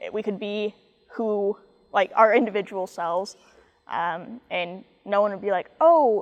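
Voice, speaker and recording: A woman at medium pitch, fairly slow, with ordinary pitch variation and long, frequent pauses. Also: big swings in loudness. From US Midwest, Kansas City area. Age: 20s. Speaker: college athlete, golfer. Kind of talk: interview.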